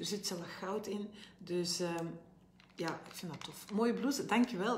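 A woman speaks in a room with audible echo and light background noise. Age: 50s. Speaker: health coach and brand ambassador. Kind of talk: live make-up tutorial. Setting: live video stream. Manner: chatty, informal. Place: home room. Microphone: phone near.

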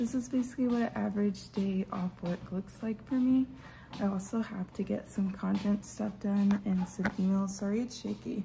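A woman talks with fairly even intonation. Noticeable background noise runs underneath. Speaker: lifestyle vlogger. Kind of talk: casual vlog chat. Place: home room. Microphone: phone near.

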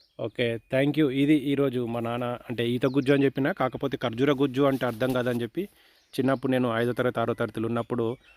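The recording is very clean and the background silent. A man talks in a monotone, his intonation flat. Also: medium pitch for a man, dry, close sound with no echo. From India, Telangana (Rajanna Sircilla district). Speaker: vlogger. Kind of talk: casual vlog interview.

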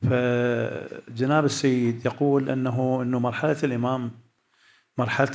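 In an Iraqi accent, a man speaks at a medium pitch with monotone, flat intonation. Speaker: cleric. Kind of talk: audience question.

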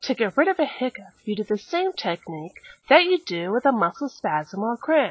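A woman's high voice at a moderate pace, with very wide pitch swings and a dry sound with no echo. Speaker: mock infomercial presenter. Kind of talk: infomercial-style demonstration. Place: home room.

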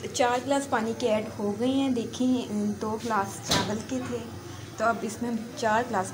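A woman talks in a medium pitch. Background noise is clearly audible.

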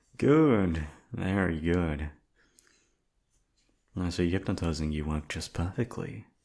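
Using a put-on character voice, a man speaks quietly and breathily with a low pitch and a slightly mellow tone, very slowly and with long, frequent pauses.

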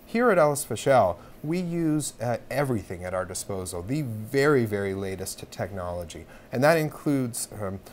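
A man talks with very wide pitch swings. Music plays in the background. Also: moderate pace. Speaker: guest. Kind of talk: interview answer. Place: studio. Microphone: lapel.

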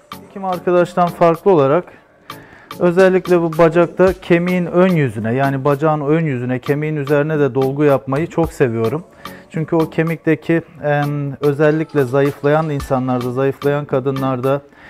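Over faint background music, a man talks with ordinary pitch variation. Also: moderate pace. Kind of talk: explanatory narration during procedure. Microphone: phone near.

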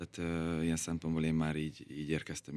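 Against a quiet background, a man with a very deep, low pitch and a dark, mellow tone speaks at a fairly quick pace. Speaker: professional footballer. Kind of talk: radio interview. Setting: studio. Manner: halting, repeats words. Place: studio. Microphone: studio mic.

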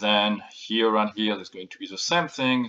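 With a non-native accent, a man speaks in a bright, sharp tone. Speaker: former chip architect at a processor company. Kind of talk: technical lecture to camera. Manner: casual, hesitant.

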